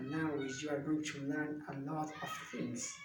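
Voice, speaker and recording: A man with a high pitch and a Spanish accent speaks with audible room echo and noticeable background noise. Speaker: language student. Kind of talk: video monologue. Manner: halting.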